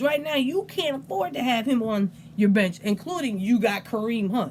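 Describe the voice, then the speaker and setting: Someone with an American accent talks at a fairly quick pace in an animated tone, the pitch swinging very widely over noticeable background noise. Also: woman. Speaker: fantasy football league commissioner / video host. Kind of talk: casual recap video monologue. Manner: stuttering, unedited; animated, casual.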